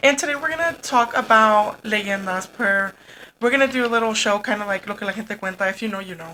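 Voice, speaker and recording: A woman talks at a fairly quick pace in a fairly high voice with a bright, sharp tone. Her pitch varies in an ordinary way while her loudness swings widely. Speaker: podcast co-host. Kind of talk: casual chat.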